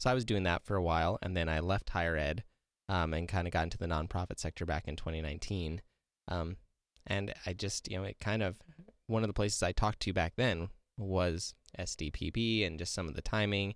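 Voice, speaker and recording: The speech moves at a fairly quick pace with fairly even intonation on a very clean recording with a silent background. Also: man, very deep, low pitch for a man. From South Dakota. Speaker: public broadcasting outreach manager. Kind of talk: casual chat. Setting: studio.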